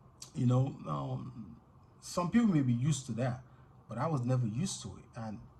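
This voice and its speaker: A man's medium-pitched, somewhat breathy voice with an American accent at a moderate pace. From Nigeria, grew up partly in the UK. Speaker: vlogger. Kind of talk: personal storytelling monologue. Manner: casual, many fillers and repetitions.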